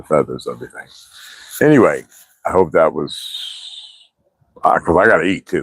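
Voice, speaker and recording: A man's fairly quick speech with long, frequent pauses and big swings in loudness. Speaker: livestreamer. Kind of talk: casual chat. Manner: low-pitched, relaxed.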